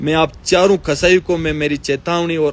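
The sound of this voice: A man's fairly high voice, fairly slow and fairly even in intonation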